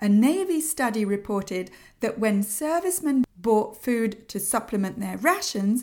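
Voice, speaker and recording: The speaker uses a British accent, talking at a fairly slow pace with very wide pitch swings. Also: woman. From UK. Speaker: podcast host, sugar-free lifestyle coach. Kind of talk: solo podcast monologue.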